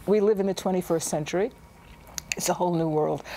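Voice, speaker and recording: A woman at medium pitch with ordinary pitch variation, over noticeable background noise. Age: 70s. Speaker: artist. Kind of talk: tv interview.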